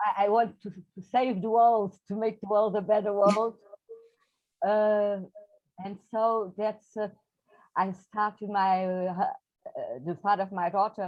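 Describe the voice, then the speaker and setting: A woman with a Portuguese accent speaks at a medium pitch in a monotone, flat intonation, going fairly slowly with long, frequent pauses and big swings in loudness. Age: 60s. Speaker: poet. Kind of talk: interview. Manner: halting.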